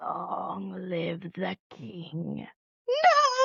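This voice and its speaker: A put-on character voice comes through raspy. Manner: dramatic, tragic, solemn.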